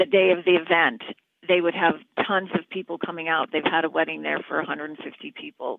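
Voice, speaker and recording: A woman with a fairly low voice talks very fast, her intonation fairly even but her loudness swinging widely. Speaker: neighbor. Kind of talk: interview clip, community complaint. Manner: earnest.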